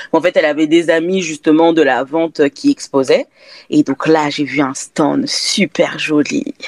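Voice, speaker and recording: A fairly slow pace, very even loudness and ordinary pitch variation in a dry, close sound with no echo. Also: woman, fairly low pitch for a woman. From France. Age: 20s. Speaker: candle brand founder. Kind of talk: interview. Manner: hesitant, many fillers.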